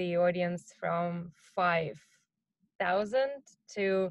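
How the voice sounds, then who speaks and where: A woman with a non-native accent speaks very slowly in a fairly low voice, her intonation fairly even. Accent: noticeable non-native English. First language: not English. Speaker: marketing executive. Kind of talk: interview. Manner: hesitant, many fillers.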